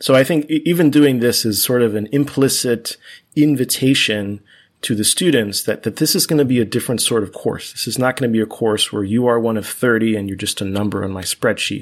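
A man speaks at a fairly quick pace with ordinary pitch variation. The recording is very clean, with a silent background. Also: medium pitch for a man. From US, Cuban-American family. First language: Spanish. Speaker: math professor. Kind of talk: interview conversation.

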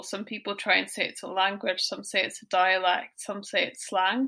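In a Scottish accent, a woman talks at a moderate pace with a bright, sharp tone, captured in a very clean recording against a silent background. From Scotland. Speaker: guest interviewee. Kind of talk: casual chat.

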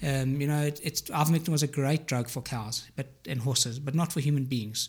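A man with a fairly high pitch speaks at a moderate pace in a somewhat breathy voice. The recording is very clean, with a silent background. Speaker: pulmonologist and ICU physician. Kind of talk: interview.

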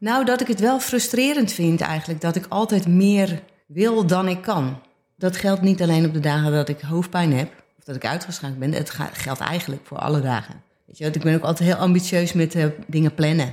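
On a very clean recording with a silent background, a woman with a fairly low pitch talks at a moderate pace with lively intonation and big swings in loudness. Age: 50s. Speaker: visual artist. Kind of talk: casual chat. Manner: halting.

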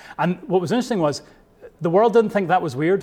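With a Scottish accent, a man speaks with ordinary pitch variation. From Scotland. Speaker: pastor. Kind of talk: sermon.

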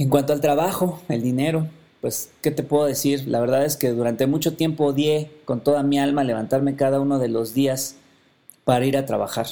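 Speaking at a moderate pace with fairly even intonation, a man with a Mexican accent has a fairly high pitch and a dark, mellow tone. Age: 40s. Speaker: podcast host. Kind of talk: personal monologue.

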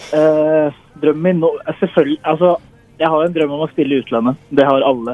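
At a fairly quick pace, a man talks in a fairly high voice with fairly even intonation. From Norway. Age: 20s. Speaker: semi-professional footballer. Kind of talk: interview. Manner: halting.

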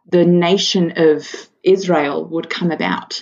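A somewhat breathy woman's voice at a very slow pace. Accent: Australian. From Australia, Sydney. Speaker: mother and charity worker. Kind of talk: testimony.

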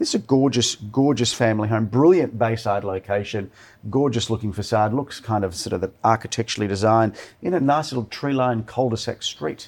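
A man with an Australian accent, medium pitch and ordinary pitch variation at a fairly quick pace, on a very clean recording with a silent background. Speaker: real estate agency director. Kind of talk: casual chat. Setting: studio. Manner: sounds like an auctioneer.

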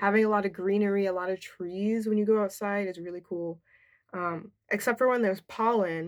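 In a plain, everyday voice, a woman with an American accent speaks at a medium pitch with fairly even intonation. The recording is very clean, with a silent background. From New Jersey suburbs. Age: 20s. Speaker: podcast host. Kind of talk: casual monologue. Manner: casual, filler-heavy.

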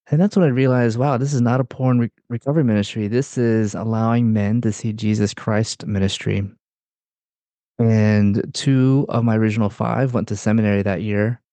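A man talks in a normal speaking voice at medium pitch and a moderate pace. His intonation is fairly even and his loudness very even. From US South, North Carolina. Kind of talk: interview.

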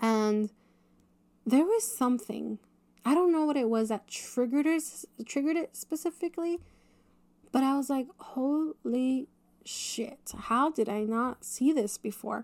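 A woman's high, animated voice with lively intonation, at a fairly slow pace with long, frequent pauses, in a dry, close sound with no echo. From US, Mexican-American, small town. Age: late 20s. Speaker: podcast host, entrepreneur. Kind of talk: casual solo podcast monologue. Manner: animated, filler-heavy with frequent laughter.

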